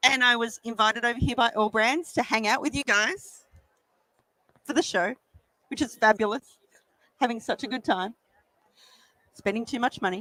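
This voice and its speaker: Using an Australian accent, a woman with a fairly high pitch and a bright, sharp tone talks at a moderate pace with long, frequent pauses. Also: ordinary pitch variation. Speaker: embroidery machine demonstrator. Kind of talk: product demonstration. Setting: trade show stage with audience and PA. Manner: animated. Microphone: microphone held very close.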